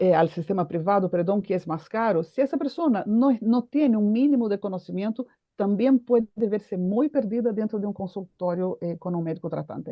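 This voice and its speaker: A woman speaks at a moderate pace with a Portuguese accent and a medium pitch. Her intonation is lively, with hardly any pauses. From Brazil. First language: Portuguese (speaking Spanish). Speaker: foundation president, mental health advocate. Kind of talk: panel discussion.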